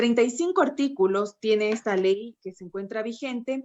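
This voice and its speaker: At a moderate pace, a woman talks in a high voice. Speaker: youth policy panelist, engineer. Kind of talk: panel talk.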